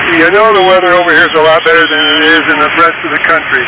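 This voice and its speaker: A man with a fairly high pitch speaks very fast in a flat monotone, with audible room echo and noticeable background noise. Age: 70s. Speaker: ham radio operator. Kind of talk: amateur radio contact. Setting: ham radio transmission.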